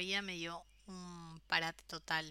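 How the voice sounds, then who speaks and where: A woman speaks in a bright, sharp tone. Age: 30s. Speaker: podcast host. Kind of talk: personal monologue. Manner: hesitant.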